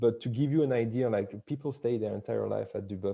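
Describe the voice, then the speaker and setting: A man's medium-pitched voice with a dark, mellow tone against a quiet background. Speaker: wine company employee. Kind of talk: interview. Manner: loud; halting.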